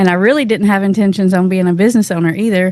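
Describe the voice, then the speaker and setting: A woman with a Southern US accent at a medium pitch, fairly even in intonation. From Tennessee, US South. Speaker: addiction counselor. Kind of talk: casual interview.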